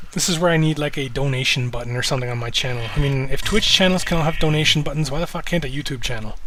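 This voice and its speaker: Mumbling very fast with hardly any pauses, a man with a slight Canadian accent speaks at a fairly high pitch with ordinary pitch variation, amid noticeable background noise and audible room echo. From Canada. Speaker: live streamer. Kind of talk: casual live stream chat. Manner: relaxed, laid-back.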